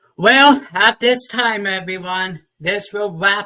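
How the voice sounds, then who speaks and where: Raised and projected, a man's high-pitched voice has a bright, sharp tone and lively intonation, moving at a very slow pace. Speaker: talk show host. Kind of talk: casual interview.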